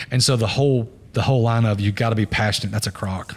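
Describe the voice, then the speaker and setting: A man talks at a very fast pace in a fairly low pitch, somewhat breathy, with fairly even intonation. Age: 40s. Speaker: podcast host, business owner. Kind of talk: casual chat.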